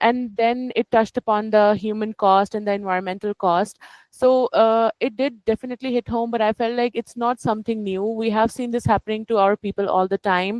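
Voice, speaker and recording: A woman with a fairly high pitch talks at a fairly quick pace, with hardly any pauses. The sound is dry and close with no echo, over a quiet background. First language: not English. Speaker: book club participant. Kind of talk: casual discussion. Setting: video call. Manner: halting.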